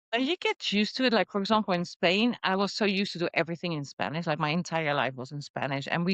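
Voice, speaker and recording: With a Dutch accent, a woman speaks at a very fast pace in a fairly low pitch with lively intonation, recorded against a quiet background with a dry, close sound and no echo. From Netherlands. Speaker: entrepreneur. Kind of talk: podcast interview.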